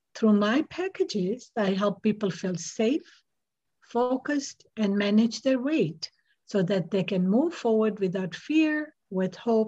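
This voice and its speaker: A woman speaks calmly at a very slow pace, her fairly high, somewhat breathy voice dark and mellow in tone yet lively in intonation. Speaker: hypnotist and energy healer. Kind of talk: interview. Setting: video call.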